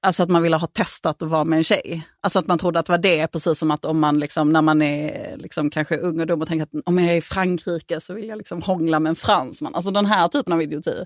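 A woman with a fairly low pitch talks at a very fast pace in a very clean recording with a silent background. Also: dry, close sound with no echo. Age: 30s. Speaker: author. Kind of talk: casual chat.

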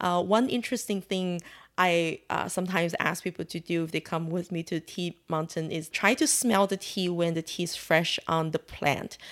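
With a Chinese accent, a woman talks with hardly any pauses and fairly even intonation. The recording is very clean, with a silent background. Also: fairly low pitch for a woman, moderate pace. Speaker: tea house owner. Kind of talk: interview.

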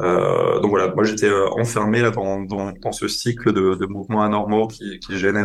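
This is an ordinary speaking voice with ordinary pitch variation. It moves at a fairly slow pace. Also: man. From eastern France, Franco-German border. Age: 30s. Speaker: public health researcher and podcaster. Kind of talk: interview testimony.

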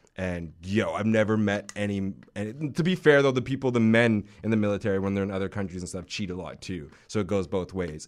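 An ordinary speaking voice from a man, fairly low in pitch, with ordinary pitch variation at a fairly quick pace. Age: 20s. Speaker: podcast co-host. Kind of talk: casual chat.

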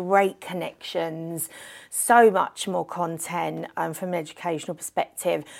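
A woman with a London accent, fairly low-pitched, at a fairly slow pace, with ordinary pitch variation, on a very clean recording with a silent background. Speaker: events industry director. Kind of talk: casual interview. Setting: hotel venue. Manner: animated.

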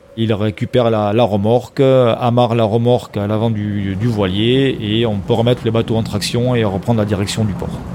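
Against noticeable background noise, a man talks at a medium pitch and a moderate pace in a flat monotone, with hardly any pauses. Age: 50s. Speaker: volunteer sea rescuer, former firefighter. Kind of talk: testimony.

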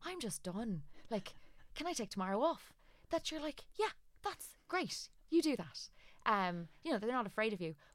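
Recorded very cleanly against a silent background, a woman with an Irish accent and a fairly high voice speaks at a moderate pace, swinging her pitch very widely and taking long, frequent pauses. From Ireland. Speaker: aesthetic doctor and clinic owner. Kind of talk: interview.

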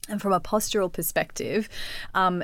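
A woman speaks at a fairly quick pace with an Australian accent. The recording is very clean, with a silent background. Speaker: personal trainer and yoga teacher. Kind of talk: casual interview chat.

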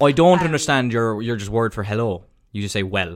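This man talks at a fairly quick pace with lively intonation. His pitch sits in the medium range, and he has a slight Cork accent. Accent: Irish, mild Cork. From Cork, Ireland. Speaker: podcast co-host. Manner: casual, chatty, swears freely.

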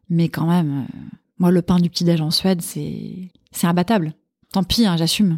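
A woman with a fairly low, somewhat breathy voice speaks at a fairly slow pace with fairly even intonation. The sound is dry and close, with no echo. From Paris, France. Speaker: food journalist and columnist. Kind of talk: casual interview chat.

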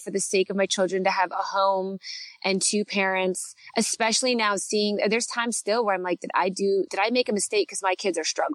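A woman speaks in an ordinary speaking voice at medium pitch with fairly even intonation. The sound is dry and close with no echo. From Canada. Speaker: guest, parenting influencer and former TV co-host. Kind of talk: casual chat, podcast interview.

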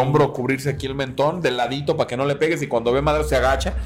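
A man's voice over noticeable background noise. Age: 30s. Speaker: beer YouTuber. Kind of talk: casual chat.

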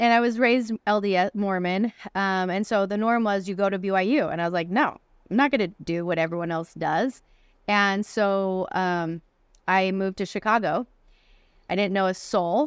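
At a moderate pace, the voice shows ordinary pitch variation on a very clean recording with a silent background. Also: woman, medium pitch for a woman. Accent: American. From Arizona, US. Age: 40s. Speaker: publisher and author. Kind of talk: interview conversation. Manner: animated.

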